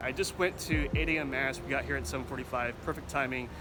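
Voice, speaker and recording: A man with an American accent races along at a very fast pace, with music in the background and audible room echo. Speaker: travel reporter. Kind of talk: travel segment with narration. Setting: outdoors in a town square.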